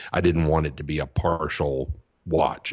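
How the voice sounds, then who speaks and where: A man's very deep, low voice with vocal fry, flat monotone intonation and a fairly quick pace. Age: 50s. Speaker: podcast co-host and video reviewer. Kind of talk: casual chat.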